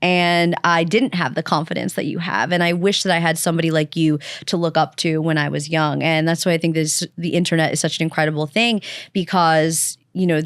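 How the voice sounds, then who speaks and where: A woman's fairly low voice in a Long Island accent, at a fairly quick pace with fairly even intonation and very even loudness, in a very clean recording with a silent background. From Long Island, New York. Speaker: podcast host. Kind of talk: casual interview chat.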